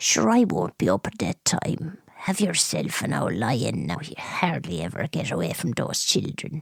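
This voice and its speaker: A woman uses a put-on character voice that is raspy and very deep, low in pitch. She talks at a moderate pace with hardly any pauses. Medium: audio drama. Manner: dry, blunt, wryly humorous.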